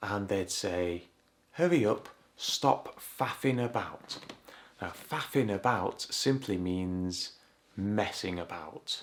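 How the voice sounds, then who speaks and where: Very slow speech from a fairly low-pitched man with a Yorkshire accent, ordinary pitch variation and long, frequent pauses. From Yorkshire, northern England. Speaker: English teacher. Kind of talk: language lesson to camera.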